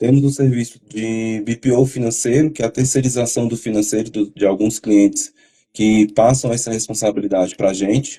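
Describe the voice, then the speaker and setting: A man with a dark, mellow tone talks at a moderate pace with fairly even intonation. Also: medium pitch for a man. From Brazil, Brasília. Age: 30s. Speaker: accountant. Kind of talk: podcast interview.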